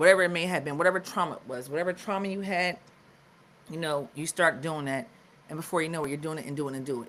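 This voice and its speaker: A woman with an American accent speaks at a very deep, low pitch with ordinary pitch variation. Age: 40s. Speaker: podcast host. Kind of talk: live stream wellness talk. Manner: casual, conversational.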